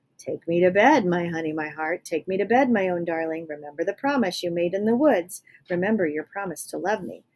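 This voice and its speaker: A woman puts on a croaky character voice at a medium pitch. She speaks at a fairly quick pace. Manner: wheedling, eerie.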